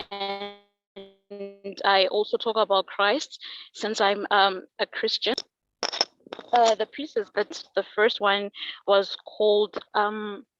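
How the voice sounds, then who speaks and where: With music in the background, a woman speaks at a very slow pace and medium pitch in a monotone, flat intonation, the sound dry and close with no echo. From Zimbabwe. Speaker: musician. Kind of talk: self-introduction in online event.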